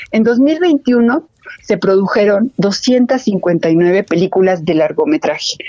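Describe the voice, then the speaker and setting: The sound is dry and close, with no echo. A woman's voice makes very wide pitch swings. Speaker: film director and film institute head. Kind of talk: radio interview. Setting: phone call. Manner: halting.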